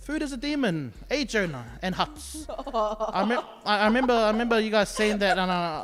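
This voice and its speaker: A high-pitched male voice with very wide pitch swings, music playing in the background. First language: not English. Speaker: youth podcast co-host. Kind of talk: casual chat.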